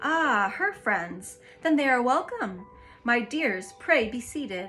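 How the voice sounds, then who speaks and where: A soft-spoken, put-on character voice with hissing speaks at a fairly slow pace over clear music in the background. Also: woman, high pitch for a woman. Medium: read story. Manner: soft, gracious, lordly.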